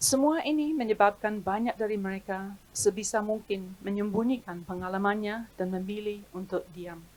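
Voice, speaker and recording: Amid noticeable background noise, a woman speaks at a moderate pace and medium pitch, with ordinary pitch variation and hardly any pauses. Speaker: historian. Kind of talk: reading aloud. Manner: formal.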